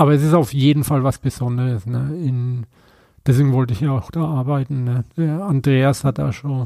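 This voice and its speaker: Speaking in a Franconian accent, a man has a medium pitch and a dark, mellow tone. His pace is moderate and his intonation fairly even. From Franconia, Bamberg. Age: 50s. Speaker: tattoo artist. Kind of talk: casual chat. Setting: at home.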